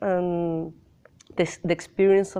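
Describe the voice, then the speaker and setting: In a Spanish accent, a woman talks at a very slow pace. Her pitch is fairly low and her intonation fairly even. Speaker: film director. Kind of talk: interview. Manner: halting.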